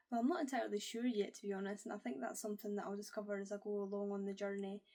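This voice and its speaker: Very fast speech from a woman in a Scottish accent, medium in pitch, dark and mellow in tone, with ordinary pitch variation. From Scotland. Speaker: book YouTuber. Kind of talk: casual to-camera vlog.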